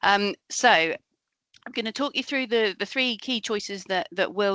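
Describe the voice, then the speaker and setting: Over a quiet background, a woman talks at a fairly quick pace and medium pitch, her tone bright and sharp, with a dry, close sound with no echo. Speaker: accountant. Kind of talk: webinar presentation. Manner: fast.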